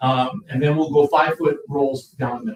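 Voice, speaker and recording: A man speaks with a Midwestern US accent. His pitch is fairly high and his pace fairly quick. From Indiana (LaPorte). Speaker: roofing contractor. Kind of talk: sales pitch. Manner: fast.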